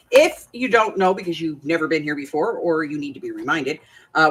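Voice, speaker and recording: A woman speaks in an ordinary speaking voice. Her pitch is fairly low, with ordinary variation. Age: 60s. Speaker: craft channel host selling supplies. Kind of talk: livestream sale with chat. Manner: chatty, with filler words.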